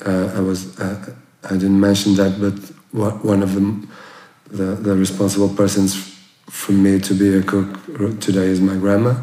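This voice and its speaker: Amid noticeable background noise and audible room echo, a man speaks at a fairly slow pace with a fairly low pitch and monotone, flat intonation. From Portugal, near Porto. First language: Portuguese. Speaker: chef. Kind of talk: interview. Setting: former bank safe room. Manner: halting, many fillers and repeats.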